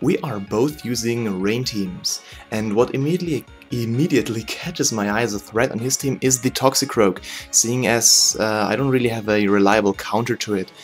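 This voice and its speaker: Music plays in the background as a man talks with a non-native accent. His medium-pitched voice has ordinary pitch variation and a moderate pace. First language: not English. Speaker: gaming commentator. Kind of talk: game commentary narration. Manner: hesitant, stutters at times.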